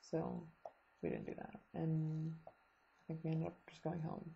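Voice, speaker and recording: A woman speaks quietly in a somewhat breathy, fairly low-pitched voice. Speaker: vlogger, student abroad. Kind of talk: casual video diary. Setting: at home, late night. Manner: hesitant, many ums.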